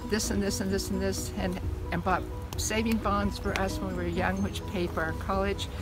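Clear music plays in the background while a woman speaks at a moderate pace, the sound dry with no echo. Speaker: grandmother telling family stories. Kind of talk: family storytelling, casual reminiscence. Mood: reflective, fond reminiscing. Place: open country. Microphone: phone near.

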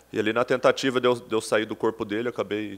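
The man's pitch sits fairly low, with fairly even intonation. He keeps a moderate pace. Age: 30s. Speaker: professional football player. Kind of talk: press conference interview. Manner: halting, many repetitions and fillers. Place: meeting room. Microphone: podium.

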